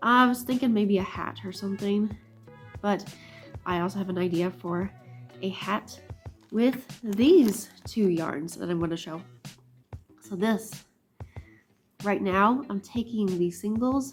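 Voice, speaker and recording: Over music in the background, a woman of medium pitch speaks at a fairly slow pace with long, frequent pauses and ordinary pitch variation. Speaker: hand spinner. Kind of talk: casual vlog talk to camera.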